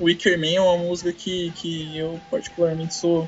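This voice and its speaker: A man with a São Paulo interior accent, high-pitched and monotone, at a moderate pace over noticeable background noise. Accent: paulista caipira. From São Paulo countryside, Brazil. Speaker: podcast co-host. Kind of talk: casual chat. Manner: halting.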